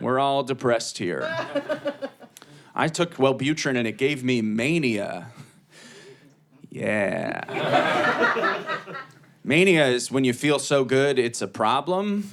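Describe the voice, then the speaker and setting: Speaking very slowly at a medium pitch, a man with an American accent uses lively intonation and long, frequent pauses. Noticeable background noise is audible. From Ohio, Cleveland. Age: 30s. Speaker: comedian. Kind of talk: stand-up. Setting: stage with audience.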